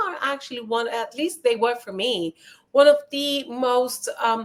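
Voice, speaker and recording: A high-pitched woman with a non-native accent, speaking at a fairly slow pace. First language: not English. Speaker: live stream host. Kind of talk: casual chat. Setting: live stream.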